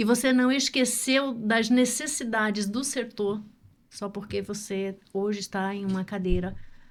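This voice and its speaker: In a plain, everyday voice, a woman talks at a medium pitch and a fairly slow pace with ordinary pitch variation. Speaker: podcast host. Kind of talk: podcast interview questions.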